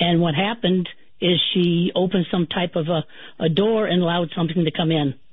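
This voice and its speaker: Using a normal speaking voice, a woman with a fairly low pitch talks at a fairly quick pace, with fairly even intonation and very even loudness. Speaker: haunting witness recounting family's experience. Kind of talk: personal testimony in radio interview.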